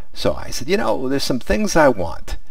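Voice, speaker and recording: The man talks at a moderate pace with very wide pitch swings. The sound is dry, with no echo. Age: 60s. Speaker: retiree, cruise reviewer. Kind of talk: casual talk to camera. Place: home room. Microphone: headset.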